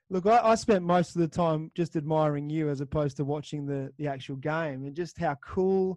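Recorded with a dry, close sound and no echo, a man with an Australian accent talks at a fairly high pitch. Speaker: podcast host. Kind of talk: casual interview chat.

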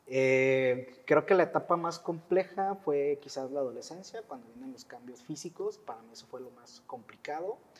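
A man's an ordinary speaking voice, fairly high in pitch, with lively intonation, big swings in loudness, a moderate pace and hardly any pauses. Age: 40s. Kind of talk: testimony.

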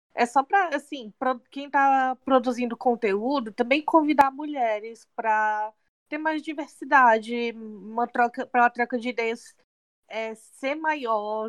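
Against a quiet background, a woman with a high pitch and ordinary pitch variation talks at a very slow pace, the sound dry and close with no echo. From Fortaleza, Brazil. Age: 30s. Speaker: podcast co-host, sales assistant. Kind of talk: casual chat.

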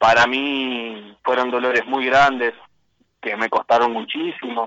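The speaker is a man at medium pitch. He talks at a fairly slow pace. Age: 20s. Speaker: political activist. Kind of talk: interview. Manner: halting.

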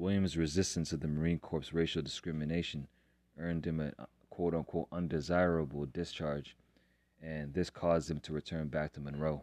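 A man talks at a fairly quick pace. His very deep, low voice stays monotone, with flat intonation. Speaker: podcast host. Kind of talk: history documentary narration. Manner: earnest, serious; measured, formal storytelling.

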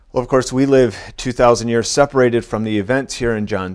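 On a very clean recording with a silent background, a man speaks at medium pitch in an unremarkable speaking voice. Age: 40s. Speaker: pastor. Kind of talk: sermon.

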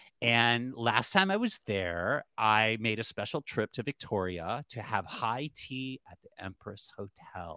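Speaking very slowly with hardly any pauses, a man with an American accent has a medium pitch, lively intonation and a bright, sharp tone. His loudness swings widely, and the sound is dry and close with no echo. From Cleveland, Ohio. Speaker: podcast host. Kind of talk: casual interview chat.

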